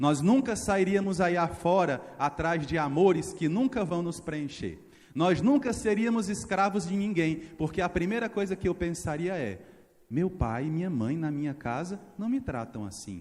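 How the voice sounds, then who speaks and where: Lively intonation and an animated tone come from a man with a high pitch who speaks at a fairly slow pace. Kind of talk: sermon. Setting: church.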